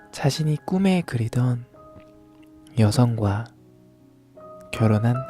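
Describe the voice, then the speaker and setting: A man talks at a very slow pace. Behind him, music is playing. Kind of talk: ASMR bedtime story reading. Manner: soft-spoken, slow.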